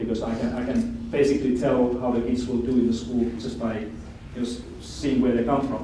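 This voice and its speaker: In a Finnish accent, a man speaks at a medium pitch and moderate pace with monotone, flat intonation, amid audible room echo and noticeable background noise. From Finland. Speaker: education expert speaker. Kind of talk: lecture.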